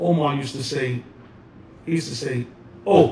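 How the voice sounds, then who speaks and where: With a New York accent, a man speaks at a fairly high pitch. His intonation is lively and his pace moderate. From the Bronx, New York. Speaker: hip hop DJ and dancer. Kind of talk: oral history interview answer. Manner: casual, conversational.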